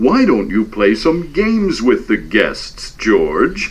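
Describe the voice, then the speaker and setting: Delivered at a very slow pace, a put-on character voice comes through with light background noise. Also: man. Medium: read story.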